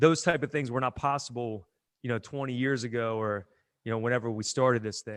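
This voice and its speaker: Moving at a fairly quick pace, a man with an American accent speaks in an ordinary speaking voice at a medium pitch with fairly even intonation. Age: 40s. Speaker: gym owner and strength coach. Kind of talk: casual interview chat.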